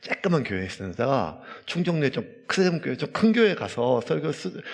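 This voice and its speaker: A man speaks at a fairly quick pace. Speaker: pastor. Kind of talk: sermon.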